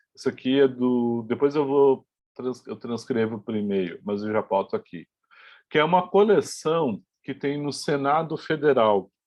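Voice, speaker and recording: The pace of this man's speech is fairly slow. He uses lively intonation. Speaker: university lecturer. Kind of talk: lecture. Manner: halting.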